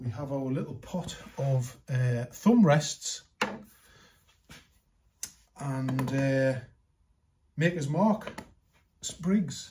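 Speaking at a very slow pace with long, frequent pauses, a man uses ordinary pitch variation against light background noise. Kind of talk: tutorial. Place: workshop.

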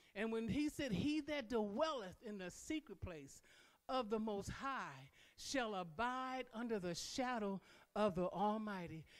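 Fairly slow speech from a woman, with a quiet background. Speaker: preacher. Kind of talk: sermon. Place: church. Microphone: handheld.

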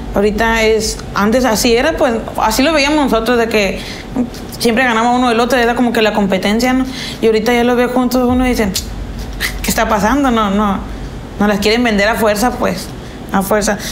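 Over light background noise, a woman talks fairly quickly with fairly even intonation. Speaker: interviewee. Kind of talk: interview answer. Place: kitchen.

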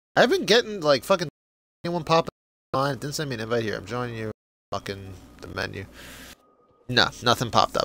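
Speaking very fast with an American accent, a man at medium pitch swings very widely in pitch and loudness, leaves long, frequent pauses, and sounds dry and close with no echo over music in the background. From United States. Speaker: gaming streamer. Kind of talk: casual chat. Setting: live stream.

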